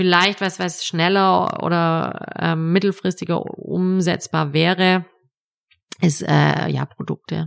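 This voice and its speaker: The woman speaks at a very slow pace in a dry, close sound with no echo. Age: 40s. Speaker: entrepreneur. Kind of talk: interview. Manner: hesitant, many filler sounds.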